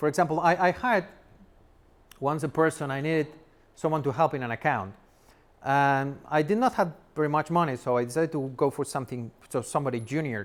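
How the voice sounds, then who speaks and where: With long, frequent pauses, a man talks very fast in a fairly high pitch with ordinary pitch variation on a very clean recording with a silent background. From Spain. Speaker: software developer turned entrepreneur, speaker. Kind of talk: talk to an audience.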